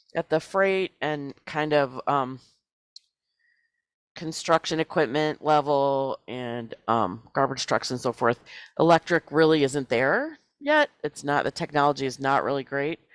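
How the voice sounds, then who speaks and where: The recording is very clean, with a silent background. The speech goes at a fairly slow pace. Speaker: regional planner presenting climate plan. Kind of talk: public meeting presentation. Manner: halting, many fillers.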